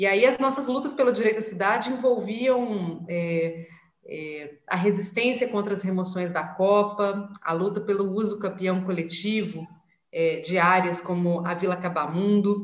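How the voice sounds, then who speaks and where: There is audible room echo around a woman's medium-pitched voice. She speaks at a fairly slow pace with ordinary pitch variation. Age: 30s. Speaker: city councillor and activist. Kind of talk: interview.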